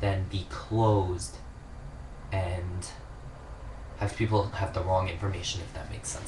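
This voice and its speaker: A man with a slight Long Island accent speaks at a moderate pace and fairly low pitch. Audible room echo and noticeable background noise are present. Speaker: vlogger. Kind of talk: casual monologue. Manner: rambling, hesitant with fillers.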